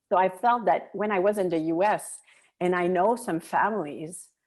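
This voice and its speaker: In a French Canadian accent, a woman with a dark, mellow tone speaks at a fairly slow pace with ordinary pitch variation. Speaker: military spouse, volunteer. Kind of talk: podcast interview.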